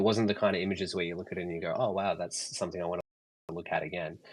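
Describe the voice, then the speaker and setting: A man's flat, monotone delivery with an Australian accent. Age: 30s. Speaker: artist and photographer. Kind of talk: casual chat. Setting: online audio space. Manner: halting, many fillers.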